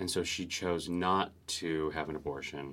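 In an American accent, a man speaks at a very deep, low pitch with fairly even intonation. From Southern California, Orange County. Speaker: actor and communication coach. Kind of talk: casual interview chat.

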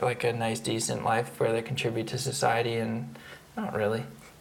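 A man's medium-pitched voice in a Canadian accent, monotone and flat, at a moderate pace, with audible room echo and noticeable background noise. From Canada, Victoria. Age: 30s. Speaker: performance artist. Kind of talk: casual chat. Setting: at home.

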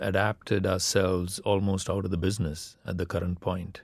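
A man with a Tamil accent speaks at a moderate pace on a very clean recording with a silent background. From India. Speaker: politics professor. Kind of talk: panel discussion.

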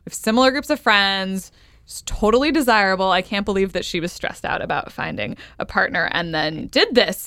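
Lively intonation and a bright, sharp tone at a fairly quick pace, with big swings in loudness. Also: woman, medium pitch for a woman. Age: 30s. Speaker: podcast host. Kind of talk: casual chat.

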